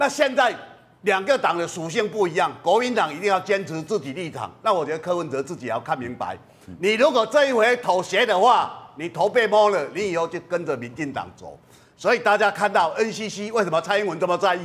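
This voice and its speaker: With lively intonation, a man talks at a fairly quick pace in a high pitch. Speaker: political commentator. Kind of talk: TV political talk show panel.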